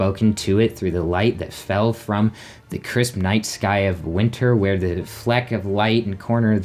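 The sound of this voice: Reading in an unforced voice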